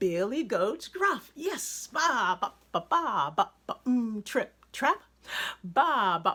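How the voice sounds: This is a natural reading voice. It reads as a natural reading voice throughout.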